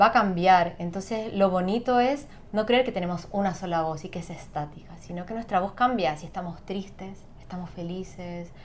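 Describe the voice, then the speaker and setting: In a room with audible echo, a woman of medium pitch speaks with big swings in loudness. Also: ordinary pitch variation, moderate pace, hardly any pauses. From Chile. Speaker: singer and sound therapist. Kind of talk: interview.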